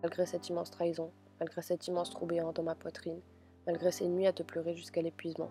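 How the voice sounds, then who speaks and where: Over background music, a woman speaks in a fairly low, monotone voice with flat intonation. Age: young. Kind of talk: emotional spoken-word text reading.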